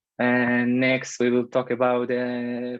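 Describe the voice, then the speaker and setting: Speech moves at a fairly slow pace. There is quiet behind it. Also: man. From Israel, Haifa area. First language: Hebrew. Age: 30s. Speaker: security engineer. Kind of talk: presentation talk. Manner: hesitant, many filler uhs.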